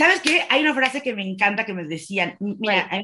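A woman speaks at medium pitch. Her tone is bright and sharp. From Mexico. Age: 30s. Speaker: dance instructor and rehabilitation therapist, wheelchair user. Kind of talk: interview. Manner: halting.

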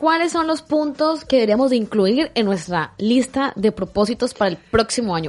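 A woman talks at a moderate pace in a high pitch. Her pitch swings very widely. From Colombia. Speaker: podcast host. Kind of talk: casual interview.

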